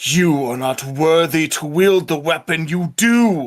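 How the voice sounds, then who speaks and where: In a put-on character voice, a man bellows at a fairly high pitch and a fairly slow pace. The recording is very clean, with a silent background. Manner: booming, accusatory.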